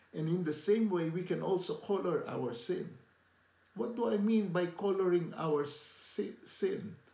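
Audible room echo surrounds the voice. The delivery is fairly slow. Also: man, high pitch for a man, ordinary pitch variation. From Philippines. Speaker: lay preacher. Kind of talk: devotional talk to camera. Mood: warm, earnest. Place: home room. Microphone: phone near.

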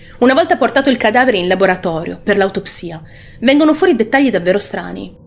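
Woman at a fairly quick pace, fairly high in pitch with very wide pitch swings. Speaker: true crime channel host. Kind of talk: true-crime narration. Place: home room. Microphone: studio mic.

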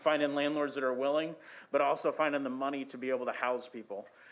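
There is audible room echo as a man speaks in a fairly high pitch with monotone, flat intonation. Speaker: shelter director presenting to council. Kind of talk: public testimony at council meeting. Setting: city council chamber. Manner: fast.

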